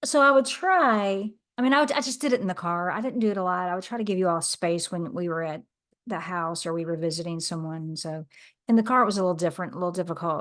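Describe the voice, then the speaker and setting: A woman talking at a very fast pace over a quiet background. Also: medium pitch for a woman, lively intonation. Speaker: podcast host. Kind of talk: podcast conversation.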